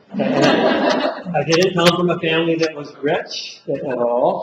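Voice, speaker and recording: A man talks with fairly even intonation. Noticeable background noise is present. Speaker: college teacher. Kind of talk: lecture. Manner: loud; fast.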